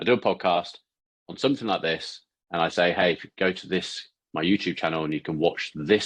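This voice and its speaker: A man with a British accent talks at a fairly quick pace with a very deep, low pitch. His pitch varies in an ordinary way, and the background is quiet. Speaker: podcast host, ads marketer. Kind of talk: tutorial. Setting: studio, talking to camera. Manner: halting.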